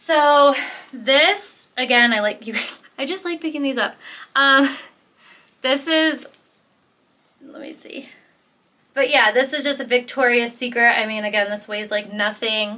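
A woman speaks in a high, bright, sharp voice with ordinary pitch variation. Her pace is fairly slow, with long, frequent pauses. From Michigan, US Midwest. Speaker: clothing reseller and video creator; thrift reseller. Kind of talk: casual haul video. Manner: casual, filler-heavy. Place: home room.

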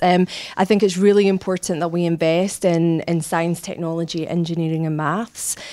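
A woman's fairly low, monotone voice with flat intonation and a Scottish accent, over a quiet background. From Scotland. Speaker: human resources director; interviewee. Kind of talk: interview. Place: office. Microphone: handheld.

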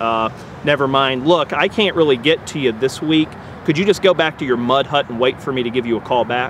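Light background noise runs under the recording. A man speaks at a fairly quick pace, and the sound is dry with no echo. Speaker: actor playing a rude boss on phone. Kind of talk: comedic acted phone call. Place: open country.

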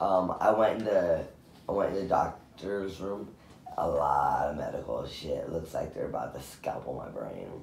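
A man's voice with big swings in loudness, light background noise, and audible room echo. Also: moderate pace. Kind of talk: casual drowsy chat. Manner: groggy, slurred post-anesthesia speech. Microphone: phone near.

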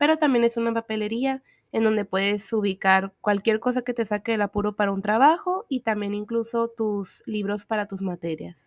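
A woman speaks at a moderate pace in an ordinary speaking voice, her fairly high pitch moving with ordinary variation, captured as a dry, close sound with no echo on a very clean recording with a silent background. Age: 20s. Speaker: exchange student vlogger. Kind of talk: narrated campus tour vlog.

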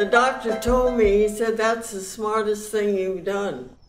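A woman with an American accent, in a room with audible echo. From United States. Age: 80s+. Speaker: centenarian interviewee. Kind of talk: interview answer. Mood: warm, affectionate. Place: home room.

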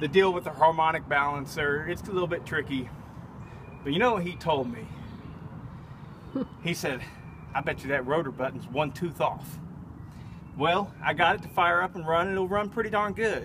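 A man speaks at a moderate pace with ordinary pitch variation, leaving long, frequent pauses over noticeable background noise. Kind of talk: casual vlog chat. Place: open country.

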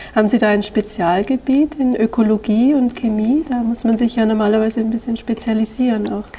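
A woman talks at a fairly quick pace with hardly any pauses. Her intonation is fairly even, and there is noticeable background noise. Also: fairly high pitch for a woman. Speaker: language examiner. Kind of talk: oral language exam. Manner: formal.

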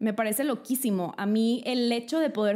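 Against a quiet background, a woman with a fairly high pitch and a dark, mellow tone speaks with lively intonation. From Mexico. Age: 20s. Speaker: lifestyle YouTuber. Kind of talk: vlog monologue. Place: home room. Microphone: studio mic.

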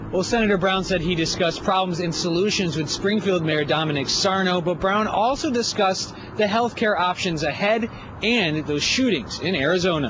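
Against noticeable background noise, a man speaks at a high pitch and a moderate pace with ordinary pitch variation and very even loudness, in a dry sound with no echo. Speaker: TV news reporter. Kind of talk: news report. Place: street. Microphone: handheld.

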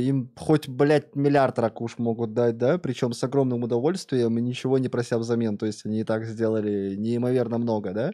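Against a quiet background, a man with a dark, mellow tone speaks at a moderate pace with fairly even intonation. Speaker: streamer. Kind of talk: casual stream commentary. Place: home room. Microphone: studio mic.

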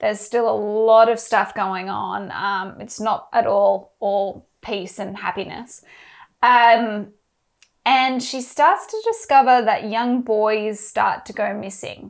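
Over a quiet background, a woman with an Australian accent speaks very slowly in a fairly high pitch with fairly even intonation. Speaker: book club host. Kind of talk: casual chat. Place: home room. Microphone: lapel.

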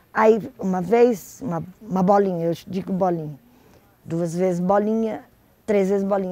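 A woman speaks at a moderate pace with ordinary pitch variation. Her tone is dark and mellow, and the sound is dry with no echo. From Brazil, Paraná (Curitiba). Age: 60s. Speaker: stadium press accreditation worker. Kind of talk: personal testimony interview. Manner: conversational, hesitant at times. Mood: calm, reflective. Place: cafe. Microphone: lapel.

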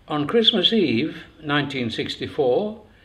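A man talks fairly slowly, his pitch swinging very widely. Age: 80s+. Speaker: former mercenary leader. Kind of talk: book reading. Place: home room.

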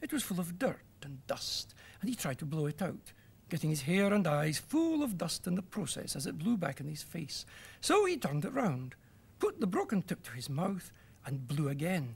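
A man talks in a high voice whose pitch swings very widely. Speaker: storyteller. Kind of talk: children's story reading. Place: studio.

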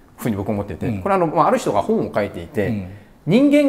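Speaking very fast, a man uses a fairly high voice that swings very widely in pitch. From Japan. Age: 40s. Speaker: author and video host; video host. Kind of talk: casual interview chat. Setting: doctor's clinic. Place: home room. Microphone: lapel.

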